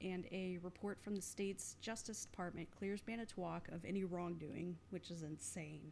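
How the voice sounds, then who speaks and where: A woman speaks in an ordinary speaking voice, fairly low in pitch, with fairly even intonation. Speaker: podcast host. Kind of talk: casual chat.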